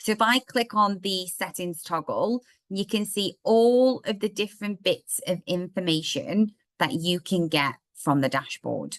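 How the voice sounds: A woman speaks at a fairly slow pace. Her pitch is fairly low, with ordinary pitch variation.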